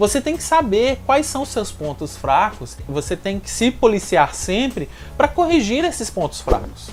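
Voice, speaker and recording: A man talks at a fairly slow pace in a strong Minas Gerais accent. Noticeable background noise is present. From Minas Gerais, Brazil. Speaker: language-learning youtuber. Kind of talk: tutorial.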